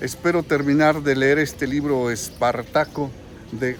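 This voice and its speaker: A man talks fairly slowly, with noticeable noise in the background. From central Mexico, Guanajuato. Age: 60s. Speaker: political commentator vlogger. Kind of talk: vlog monologue. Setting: in a queue at a bank, public place.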